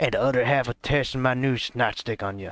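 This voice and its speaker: A man puts on a character voice with a Southern accent, speaking at a fairly quick pace with fairly even intonation and medium pitch, recorded with a dry, close sound and no echo. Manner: sputtering, blustering.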